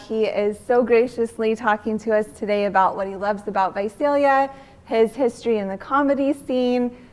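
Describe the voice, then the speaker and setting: A woman's voice, fairly high in pitch with ordinary pitch variation: a plain, everyday voice. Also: moderate pace. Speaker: interviewer. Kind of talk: casual interview questions.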